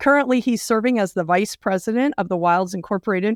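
A woman with an unremarkable speaking voice at medium pitch, ordinary pitch variation and a fairly quick pace, in a dry, close sound with no echo. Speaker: podcast host. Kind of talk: interview.

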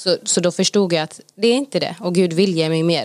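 A woman talks fairly quickly in a plain, everyday voice, her pitch fairly low. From Gothenburg, Sweden. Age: 20s. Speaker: Bible school student. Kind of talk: casual interview.

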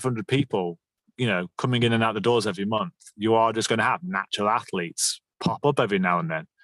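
Against a quiet background, a man speaks at medium pitch and a moderate pace with lively intonation, his sound dry and close with no echo. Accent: British. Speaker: podcast host and gym owner. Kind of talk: casual interview chat.

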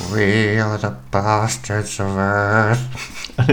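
A man performs a put-on character voice at a fairly low pitch. Clear background noise sits behind him. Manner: menacing, shouting.

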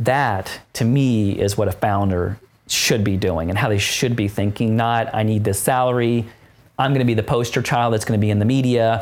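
A plain, everyday voice with an American accent, at a moderate pace with fairly even intonation. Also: man. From Philadelphia, US. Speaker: serial entrepreneur. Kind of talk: interview. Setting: studio.

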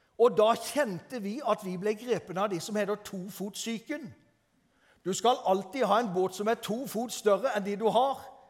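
His voice sits high, rising and falling in an ordinary way. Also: moderate pace. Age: 60s. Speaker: preacher. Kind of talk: sermon. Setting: church.

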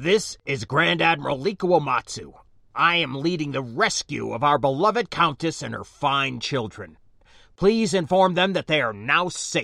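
A man uses a gruff, put-on character voice at a fairly high pitch, with lively intonation at a moderate pace, on a very clean recording with a silent background.

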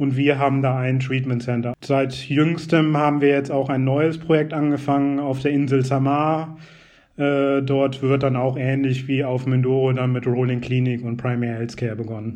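Monotone, flat intonation from a man at medium pitch, moderate pace, with audible room echo. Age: 30s. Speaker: NGO project officer. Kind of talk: interview.

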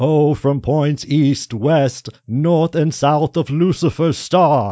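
A man puts on a character voice with fairly high pitch and speaks at a very slow pace. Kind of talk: ritual incantation. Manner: grandiose, pompous.

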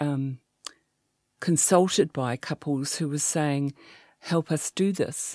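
With a New Zealand accent, a woman speaks in a very deep, low pitch and a dark, mellow tone, with ordinary pitch variation, on a very clean recording with a silent background and a dry, close sound with no echo. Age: 60s. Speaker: sex therapist. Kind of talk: interview.

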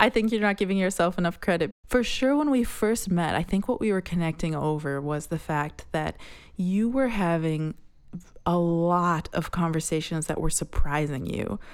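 Lively intonation at a moderate pace in a very clean recording with a silent background. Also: woman, fairly low pitch for a woman. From US Midwest, Minnesota. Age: 30s. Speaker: podcast co-host. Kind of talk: casual chat.

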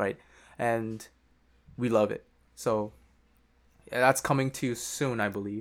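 At a fairly slow pace with long, frequent pauses, a man speaks in a medium pitch with a monotone, flat intonation. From Korea, then Japan and Vancouver. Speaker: music producer. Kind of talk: casual chat.

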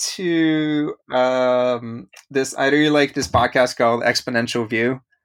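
Over a silent background in a very clean recording, a man speaks at a fairly slow pace. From Bulgaria, then Vancouver, Canada from age eleven. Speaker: brand strategist. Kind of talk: casual interview. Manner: halting, many repeated words and fillers.

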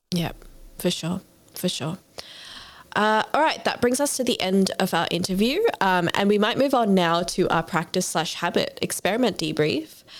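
A woman with an Australian accent, medium in pitch, at a moderate pace, lively in intonation and very even in loudness. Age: 20s. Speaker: podcast host. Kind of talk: interview conversation.

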